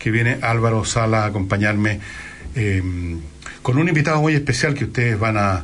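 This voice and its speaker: Over noticeable background noise and audible room echo, a man speaks at a fairly quick pace with ordinary pitch variation. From Chile, Valparaíso region. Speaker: radio host. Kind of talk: casual chat; radio monologue.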